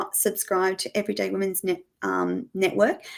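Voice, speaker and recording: With an Australian accent, a woman talks at a moderate pace. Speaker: former nurse turned media host. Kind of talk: interview. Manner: animated.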